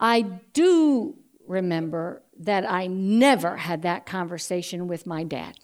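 Heard on a very clean recording with a silent background, a woman with an unremarkable speaking voice and an American accent speaks at a medium pitch with lively intonation. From US Northeast. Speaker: storyteller. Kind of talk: personal story telling.

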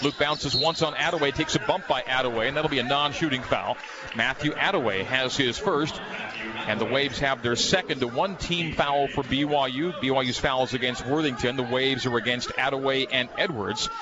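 Set against noticeable background noise, a man with a fairly high pitch talks with very even loudness and ordinary pitch variation. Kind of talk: live sports play-by-play commentary. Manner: fast, rapid-fire play-by-play calling; excited, animated on big plays.

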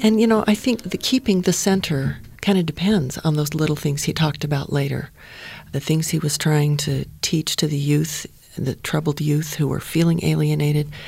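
A very clean recording, silent background, and moderate pace. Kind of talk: panel discussion.

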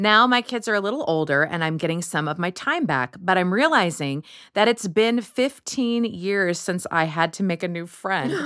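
A plain, everyday voice with an American accent, lively intonation, a moderate pace and hardly any pauses, on a very clean recording with a silent background. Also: woman, medium pitch for a woman. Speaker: podcast host. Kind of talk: panel discussion.

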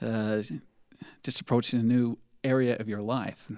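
With an American accent and a plain, everyday voice, a man talks at medium pitch with fairly even intonation on a very clean recording with a silent background. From southeastern Utah. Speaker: rock band guitarist. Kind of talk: casual interview chat. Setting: radio studio.

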